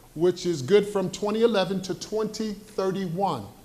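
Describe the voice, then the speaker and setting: Amid audible room echo, a man with a high pitch talks at a fairly slow pace. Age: 70s. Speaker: community member asking question. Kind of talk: public comment at town hall. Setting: town hall meeting with audience.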